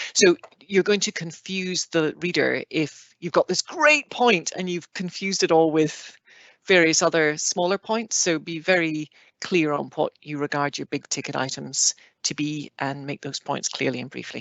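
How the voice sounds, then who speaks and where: The speaker has a strong Scottish accent. The pace is moderate. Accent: heavy Scottish. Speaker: planning process expert panelist. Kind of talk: online Q&A panel. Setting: online video session.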